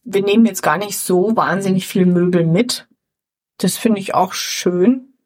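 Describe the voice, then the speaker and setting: A woman's medium-pitched voice at a fairly slow pace with fairly even intonation. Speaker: podcast co-host. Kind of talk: casual chat. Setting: empty flat. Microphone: suboptimal equipment, poorer sound.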